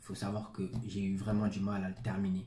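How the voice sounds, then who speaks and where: A man's fairly low, somewhat breathy voice with monotone, flat intonation. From Senegal, then France from age ten. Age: 20s. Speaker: author. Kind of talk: interview. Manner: hesitant, many fillers.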